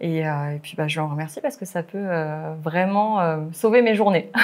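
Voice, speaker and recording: The speech moves at a moderate pace with ordinary pitch variation in a very clean recording with a silent background. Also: woman. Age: 30s. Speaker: primary school teacher. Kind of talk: interview. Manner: hesitant, many fillers.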